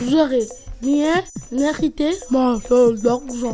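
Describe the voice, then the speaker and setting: A put-on character voice speaks at a fairly high pitch and a very slow pace. Clear background noise runs underneath. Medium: stage play.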